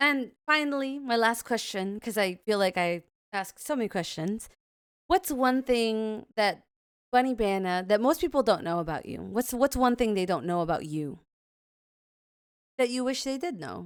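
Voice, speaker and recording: A loud woman at a fairly high pitch with very wide pitch swings, at a moderate pace, in a very clean recording with a silent background. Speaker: podcast host and streamer. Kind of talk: casual interview chat. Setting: live stream. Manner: animated.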